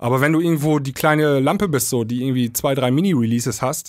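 A fairly quick pace with ordinary pitch variation, against a quiet background. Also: man. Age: 30s. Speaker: DJ and podcast co-host; DJ, podcast co-host. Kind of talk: casual chat. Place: studio. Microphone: studio mic.

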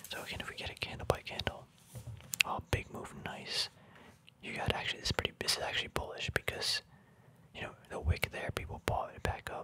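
The speaker whispers softly at a fairly quick pace, the sound dry with no echo and noticeable background noise behind it. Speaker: reader studying a trading book. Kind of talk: casual tutorial commentary. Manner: soft ASMR whisper, candle by candle.

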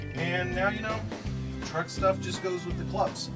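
A man talks while loud music fills the background. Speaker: interviewee. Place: bus. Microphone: phone near.

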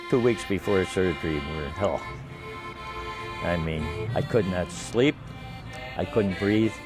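Over clear music in the background, a man speaks at a fairly slow pace with long, frequent pauses. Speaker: accordion player. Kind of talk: interview answer. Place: garden. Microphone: lapel.

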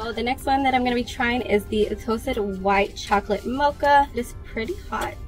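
Faint music sits in the background. A woman talks over it at a moderate pace. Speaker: vlogger. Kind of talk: casual vlog chat. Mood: relaxed, chatty. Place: car. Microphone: phone near.

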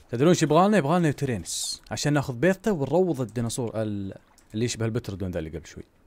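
Pitch swings very widely as the speaker talks at a fairly quick pace. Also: man. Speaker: gaming youtuber. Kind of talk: gameplay commentary. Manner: casual, conversational.

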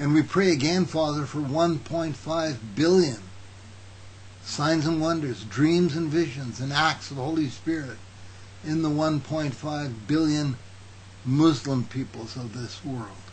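Over light background noise, a man talks very slowly and somewhat breathily. His pitch is fairly high, with ordinary variation. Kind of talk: news reading then fervent prayer. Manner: fervent, pleading, earnest prayer. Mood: earnest, calm. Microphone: webcam.

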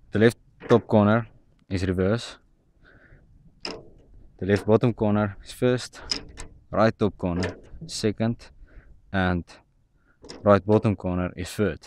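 A man speaks at a fairly slow pace in a fairly low voice with fairly even intonation and long, frequent pauses. The sound is dry with no echo, and there is noticeable background noise. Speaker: farmer explaining tractor controls. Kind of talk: tutorial. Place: farm machine. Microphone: phone near.

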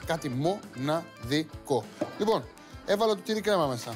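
Music can be clearly heard in the background. Over it, a man talks. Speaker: TV cooking host. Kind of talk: tutorial. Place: studio.

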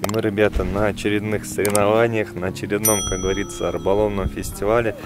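Clear background music behind a male voice, dry and without echo. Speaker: fishing channel host. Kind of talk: casual vlog chat. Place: open country. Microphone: phone near.

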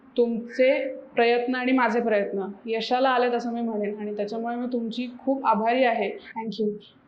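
Audible room echo surrounds a woman's voice. She has a fairly high pitch and monotone, flat intonation. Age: 20s. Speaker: patient. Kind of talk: testimonial.

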